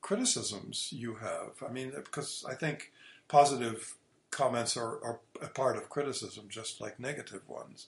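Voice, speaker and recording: A man speaks at a medium pitch. His delivery is somewhat breathy and fairly slow. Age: 60s. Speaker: classical guitarist and teacher. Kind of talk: interview. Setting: remote call.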